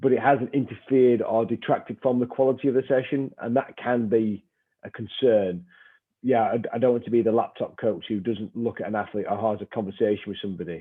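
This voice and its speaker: Speaking with a northern English accent, a man talks at a fairly quick pace. His pitch is medium and his intonation fairly even. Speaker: strength and conditioning coach. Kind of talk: webinar discussion.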